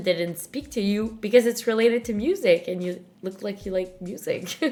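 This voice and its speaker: A woman with a French-Canadian accent, medium pitch and ordinary pitch variation. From Montreal, Quebec. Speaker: podcast host. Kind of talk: casual interview chat.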